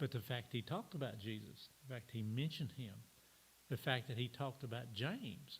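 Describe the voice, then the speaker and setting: The man's voice sits at medium pitch and is somewhat breathy. His pitch varies in an ordinary way. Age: 70s. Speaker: church teacher. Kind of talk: sermon. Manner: halting.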